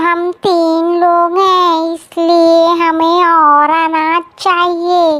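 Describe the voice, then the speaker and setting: Doing a cartoonish character voice, a woman speaks at a very slow pace in an extremely high pitch. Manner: cunning, self-serving.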